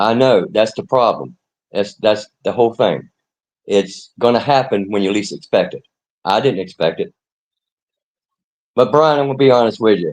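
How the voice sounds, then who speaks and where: At a moderate pace, a man with a medium pitch uses lively intonation broken by long, frequent pauses. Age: 60s. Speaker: caller on a live stream. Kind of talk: casual debate.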